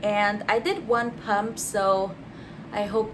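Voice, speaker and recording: This is a woman speaking. Room echo is audible around her voice. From Austria. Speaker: beauty vlogger. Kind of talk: casual chat while doing makeup.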